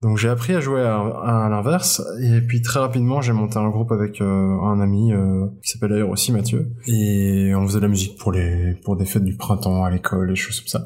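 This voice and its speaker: Fairly low-pitched male speech with a dark, mellow tone, a fairly quick pace, hardly any pauses, very even loudness and ordinary pitch variation. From Belgium, Brussels area (francophone). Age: 30s. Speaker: musician and beer enthusiast. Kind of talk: casual interview chat. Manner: hesitant, many fillers and repetitions.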